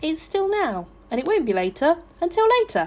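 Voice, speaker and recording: A squeaky, high-pitched put-on character voice carries a cheerful tone. It moves at a fairly quick pace with very wide pitch swings. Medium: read story.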